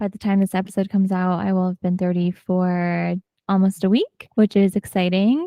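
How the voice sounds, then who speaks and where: A woman with an American accent speaks at a moderate pace in a medium pitch, her intonation flat and monotone, and the recording is very clean and dry, close-miked with no echo over a silent background. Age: 30s. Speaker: podcast host. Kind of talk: casual solo podcast monologue.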